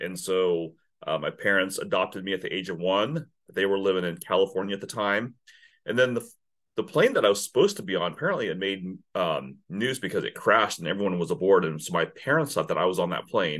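On a very clean recording with a silent background, a man with an American accent speaks at a very fast pace. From Kansas. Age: 50s. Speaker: business owner, sales consultant. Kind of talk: interview.

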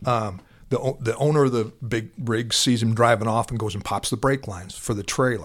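A man speaks in a plain, everyday voice with an American accent, at medium pitch and a moderate pace. His pitch varies in an ordinary way, and the recording is very clean with a silent background. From Iowa. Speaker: retired police officer, SWAT and narcotics. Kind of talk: casual interview, storytelling.

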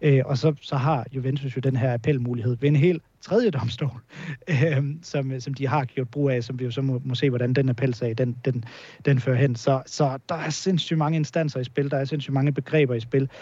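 A man's somewhat breathy voice, dark and mellow in tone, medium in pitch, fairly even in intonation, at a moderate pace. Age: 30s. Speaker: football journalist. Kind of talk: podcast interview. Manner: halting, many repetitions and fillers.

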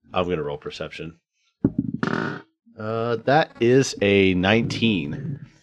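With music in the background, a man speaks very slowly at a fairly low pitch, his intonation lively. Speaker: player and podcast co-host. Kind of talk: casual chat, tabletop roleplaying game.

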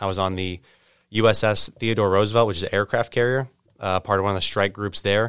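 A man's fairly low voice with an American accent, monotone, flat intonation and a very fast pace, on a very clean recording with a silent background. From St. Louis, Missouri (North County). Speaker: Marine recruiter. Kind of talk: interview. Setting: studio.

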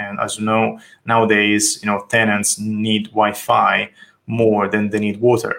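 In a very clean recording with a silent background, a man speaks fairly slowly at a fairly low pitch, his tone bright and sharp and his intonation monotone and flat. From Italy, Tuscany. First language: Italian. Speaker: architect. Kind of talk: interview. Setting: call.

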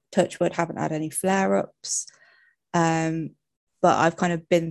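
With an English accent, the speaker goes at a fairly slow pace in a dry, close sound with no echo and a quiet background. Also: woman. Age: 30s. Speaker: occupational therapy student with arthritis. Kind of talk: casual interview. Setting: live stream.

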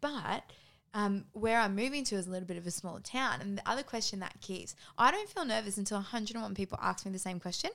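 A woman's medium-pitched voice at a very fast clip, with ordinary pitch variation, in a very clean recording over a silent background. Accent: Australian. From Australia, Cairns, north Queensland. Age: 20s. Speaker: coach. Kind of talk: casual chat.

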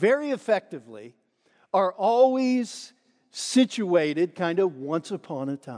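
A man with a dark, mellow tone swings his pitch very widely, recorded dry and close with no echo against a quiet background. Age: 60s. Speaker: pastor. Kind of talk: sermon. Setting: church.

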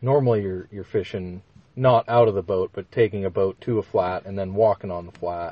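Speaking with an Upper Midwest accent, a man shows big swings in loudness but fairly even intonation. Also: fairly low pitch for a man. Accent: Upper Midwest American. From Minnesota. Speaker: fly shop manager, former fishing guide. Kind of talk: casual chat. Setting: studio.

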